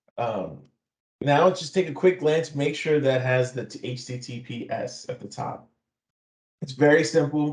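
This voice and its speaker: Somewhat breathy, a man speaks at a fairly high pitch and a fairly slow pace. His pitch varies in an ordinary way while his loudness swings widely. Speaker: IT security consultant. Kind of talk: webinar presentation.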